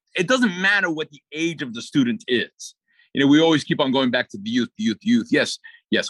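A man with an American accent talks at a fairly quick pace in a fairly high voice, his pitch swinging very widely. The sound is dry and close, with no echo. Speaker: music teacher and philharmonic musician.

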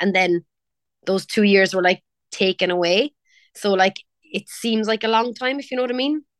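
A woman's fairly high-pitched voice in a strong Cork accent, moderate pace and ordinary pitch variation, with a dry, close sound and no echo. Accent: strong Cork Irish. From Ireland (Cork). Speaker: pop singer. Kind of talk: casual interview. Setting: video call.

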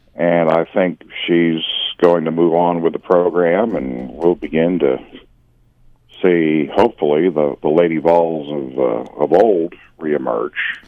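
A man with an American accent speaks at a fairly slow pace. His pitch is very deep and low, with ordinary pitch variation. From US Northeast, Philadelphia area. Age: 60s. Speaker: sports commentator. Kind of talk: casual chat. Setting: phone call.

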